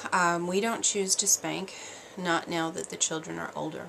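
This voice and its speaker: A woman's voice with fairly even intonation against noticeable background noise. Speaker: parenting vlogger. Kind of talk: casual vlog monologue. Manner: quiet; hesitant, many fillers.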